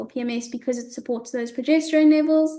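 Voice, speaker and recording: In a quiet background, a woman's high-pitched voice has a dark, mellow tone and fairly even intonation. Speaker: women's health educator. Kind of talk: webinar lecture. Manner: fast.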